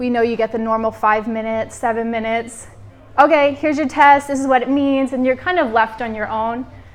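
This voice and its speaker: In a normal speaking voice, a woman talks at a fairly high pitch with fairly even intonation. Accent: American. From United States. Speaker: women's health practitioner. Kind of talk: live workshop talk. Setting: workshop room with audience. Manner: casual, conversational with fillers.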